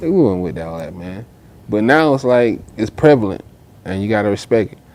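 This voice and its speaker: Using lively intonation and big swings in loudness, a man with a fairly low voice speaks at a moderate pace with an American accent. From US South, Augusta, Georgia. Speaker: rapper. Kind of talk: casual interview chat.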